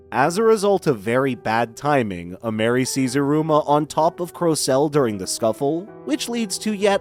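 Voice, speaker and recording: Music in the background behind a man with a fairly high pitch and very wide pitch swings, at a moderate pace with hardly any pauses. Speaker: voice actor. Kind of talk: anime recap narration.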